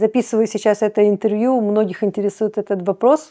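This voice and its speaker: Heard in a dry, close sound with no echo, a woman with a fairly high pitch and a dark, mellow tone speaks at a fairly quick pace. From Odesa, Ukraine. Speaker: cooking blogger. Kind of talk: casual talk to camera.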